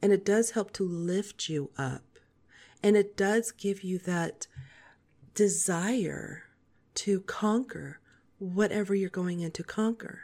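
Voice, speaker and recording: Calm and dark, mellow in tone, a woman speaks at medium pitch with fairly even intonation, a very slow pace and long, frequent pauses. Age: 40s. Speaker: podcast host. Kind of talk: scripted-style podcast monologue. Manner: soft, calm, less pitch fluctuation.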